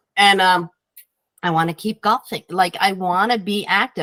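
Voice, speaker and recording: Medium pitch from a woman, the sound dry and close without any echo. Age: 60s. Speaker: health and diet coach. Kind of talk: interview. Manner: animated.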